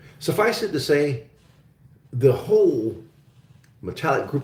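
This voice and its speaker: A man's American accent with vocal fry. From Oklahoma, US. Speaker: investment show host. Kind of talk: live-stream Q&A chat. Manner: casual, hesitant with many fillers.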